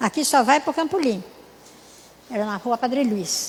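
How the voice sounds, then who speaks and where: A woman with a high pitch talks with lively intonation. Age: 80s+. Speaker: church speaker, natural health teacher. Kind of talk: sermon.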